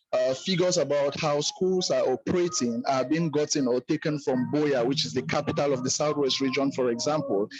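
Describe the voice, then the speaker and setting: A man's fairly high voice at a fairly quick pace, hardly any pauses, very even loudness and ordinary pitch variation, over music in the background. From Cameroon. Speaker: teacher, roundtable participant. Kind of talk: online roundtable comment.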